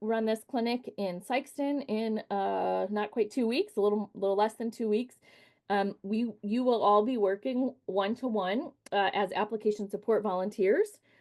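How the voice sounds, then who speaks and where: A woman with a plain, everyday voice and fairly high pitch speaks at a moderate pace with ordinary pitch variation against a quiet background. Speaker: nonprofit executive director, volunteer trainer. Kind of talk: training presentation.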